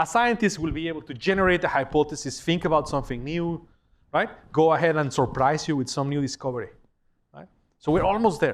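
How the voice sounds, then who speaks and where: A man with a Spanish accent and a fairly high pitch talks at a fairly quick pace with lively intonation. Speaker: professor. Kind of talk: lecture. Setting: lecture hall with audience. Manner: conversational, animated.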